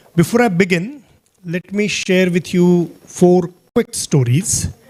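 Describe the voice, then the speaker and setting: A man speaks with a Marathi accent. The sound is dry and close, with no echo. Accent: Indian English, Marathi. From Maharashtra, India. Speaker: guest speaker, program leader. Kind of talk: talk. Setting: auditorium with audience.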